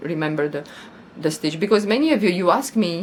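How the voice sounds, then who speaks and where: A woman of medium pitch has a non-native accent. Her intonation is lively. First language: not English. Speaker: crochet YouTuber. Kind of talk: casual vlog chat. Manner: halting, repeats words.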